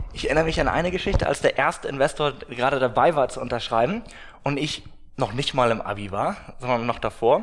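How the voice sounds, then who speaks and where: Talking very fast, a man uses a fairly high pitch and lively intonation. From northern Germany, Glückstadt on the Elbe. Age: 20s. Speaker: startup founder. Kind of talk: interview. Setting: office.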